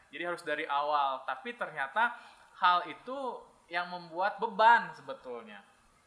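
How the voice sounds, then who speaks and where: The speaker uses very wide pitch swings at a moderate pace. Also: man, high pitch for a man, big swings in loudness. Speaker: English teacher. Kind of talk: podcast interview. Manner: hesitant fillers.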